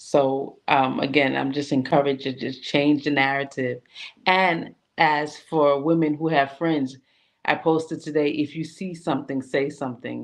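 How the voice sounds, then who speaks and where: A woman with a New York accent speaks at a moderate pace in a very deep, low voice. Her intonation is flat and monotone, and the background is quiet. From New York, Brooklyn and Queens. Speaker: women's group founder. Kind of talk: interview. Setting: online livestream.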